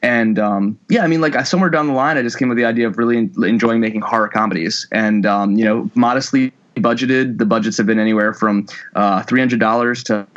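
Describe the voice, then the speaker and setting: A man talks at a very fast pace with an American accent. His pitch is medium. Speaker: film director. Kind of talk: interview.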